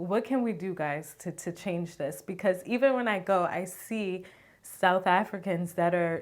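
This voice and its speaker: Here is a woman with an ordinary speaking voice and an American accent, talking at a fairly slow pace. Her pitch is medium with ordinary variation, and the recording is very clean with a silent background. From United States. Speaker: vlogger. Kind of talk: casual vlog talk.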